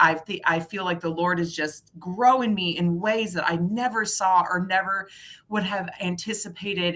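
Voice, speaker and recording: A woman speaks in an animated, bright, sharp tone. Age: 40s. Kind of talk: casual faith chat.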